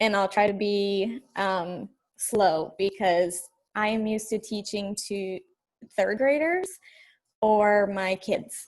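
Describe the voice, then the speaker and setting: Delivered at a very slow pace, the speech carries ordinary pitch variation. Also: woman, medium pitch for a woman. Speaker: teacher and fitness coach. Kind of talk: guest talk on video call.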